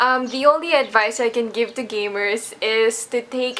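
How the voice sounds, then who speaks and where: Fairly slow and with ordinary pitch variation, a woman speaks in a fairly high voice. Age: 20s. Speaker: gamer interviewee. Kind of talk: interview answers.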